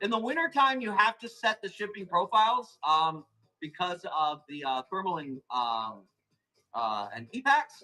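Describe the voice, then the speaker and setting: Speaking at a moderate pace, a man with an American accent has a high voice. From Arizona, US. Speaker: plant seller hosting live auctions. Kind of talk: live sales stream.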